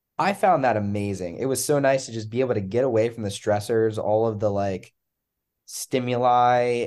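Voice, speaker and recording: An ordinary speaking voice, a man with an American accent and a fairly low pitch. He keeps a moderate pace with ordinary pitch variation against a quiet background. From Pennsylvania. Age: 20s. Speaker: medical student. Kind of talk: casual chat.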